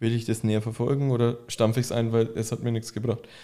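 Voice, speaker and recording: Recorded very cleanly against a silent background, a man speaks with a dark, mellow tone. His pitch is medium and his pace fairly quick. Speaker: podcast host, furniture maker. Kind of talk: casual interview. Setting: studio, in person.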